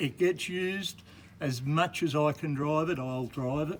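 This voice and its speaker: A man with an Australian accent, fairly high pitch and a fairly slow pace. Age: 70s. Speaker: jeep owner. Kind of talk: casual chat.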